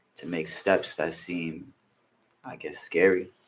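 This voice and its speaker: A man speaks with a New York accent. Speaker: music producer and rapper. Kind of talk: casual interview.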